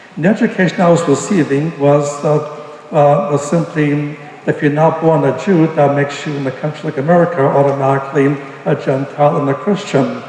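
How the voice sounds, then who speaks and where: Fairly high-pitched male speech at a fairly quick pace with fairly even intonation, plus audible room echo and noticeable background noise. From Brooklyn, New York. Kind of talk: testimony. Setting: church service.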